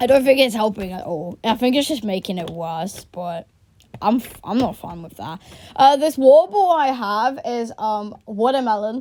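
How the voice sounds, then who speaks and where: A woman with a British accent, dark and mellow in tone, at a moderate pace. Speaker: history vlogger. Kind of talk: casual vlog chat. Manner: halting, many fillers.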